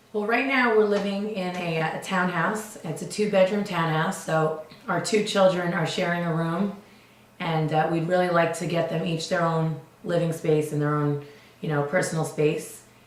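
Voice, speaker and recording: Fairly low-pitched woman's voice amid noticeable background noise and audible room echo. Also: ordinary pitch variation, moderate pace. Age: 30s. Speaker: stay-at-home mom on TV audition. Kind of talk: casting interview.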